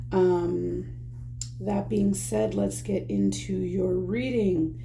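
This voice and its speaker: In a room with audible echo, a woman speaks at a very slow pace in a very deep, low voice that makes very wide pitch swings. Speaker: tarot reader. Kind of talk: tarot reading to camera. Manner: speaking quite low; hesitant, many fillers.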